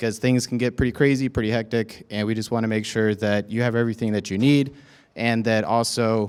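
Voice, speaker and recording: A man at a medium pitch, talking at a fairly quick pace, in a very clean recording with a silent background. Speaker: student veteran, peer mentor program lead. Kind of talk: welcome talk to new students. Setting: event room with audience, microphone. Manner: loud; casual, energetic.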